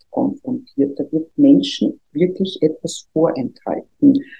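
A woman speaks in a fairly low voice. Music plays in the background. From Austria, Vienna. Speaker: trade union official. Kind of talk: interview. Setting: studio.

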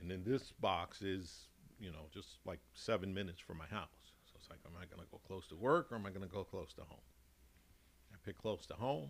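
Talking at a fairly quick pace, a man speaks in a very deep, low pitch with an American accent. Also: ordinary pitch variation, big swings in loudness. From Chicago, US Midwest. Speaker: gym member, podcast guest. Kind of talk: casual interview chat.

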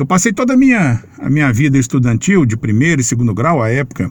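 The man's voice is somewhat breathy. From Minas Gerais, Formiga. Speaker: sports radio journalist. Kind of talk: interview.

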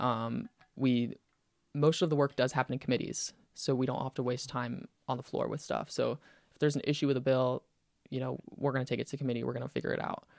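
Over a silent background in a very clean recording, a man with an American accent and vocal fry speaks at a very fast pace, his pitch medium and intonation fairly even, the sound dry and close with no echo. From US South, Pensacola, Florida. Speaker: university student senator. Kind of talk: casual interview chat.

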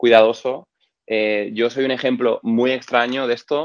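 A man's medium-pitched voice at a very slow pace. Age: 30s. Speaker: video creator and musician. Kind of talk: casual interview. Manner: hesitant, many fillers.

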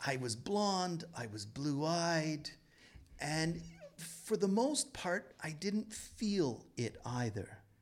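Over music in the background, a man with a fairly high pitch speaks at a very slow pace, his pitch swinging very widely. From Toronto, Canada. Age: 50s. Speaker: novelist. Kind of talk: interview.

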